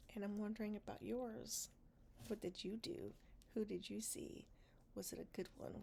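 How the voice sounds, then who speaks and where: A woman is whispering. She is soft-spoken. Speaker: podcast host. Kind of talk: casual diary-style talk to camera, personal podcast. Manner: soft, honest, a little funny, with whispered moments.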